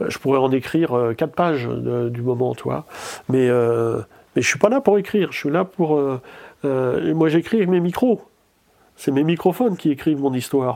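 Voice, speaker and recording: With a dark, mellow tone and a fairly high pitch, a man speaks fairly slowly with lively intonation and long, frequent pauses. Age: 60s. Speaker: nature sound recordist. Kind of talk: interview. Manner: halting, many repetitions.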